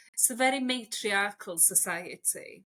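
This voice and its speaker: A woman with a Welsh accent and a bright, sharp tone. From Wales. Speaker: stylist and transformation coach. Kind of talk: interview conversation.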